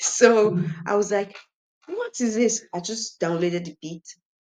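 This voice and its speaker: In a Nigerian accent, a woman talks at a very slow pace with ordinary pitch variation. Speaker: singer. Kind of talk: interview. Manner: animated.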